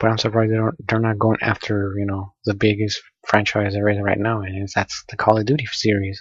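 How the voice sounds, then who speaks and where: A soft-spoken, somewhat breathy man with a fairly low pitch and monotone, flat intonation, at a fairly quick pace with hardly any pauses. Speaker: gamer vlogger. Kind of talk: casual monologue. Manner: halting. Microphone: poor audio quality.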